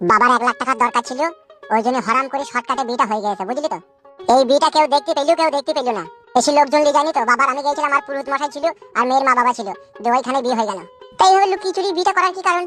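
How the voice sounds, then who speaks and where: A cartoonish character voice at a very fast pace, with faint music in the background. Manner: whining, rustic slang.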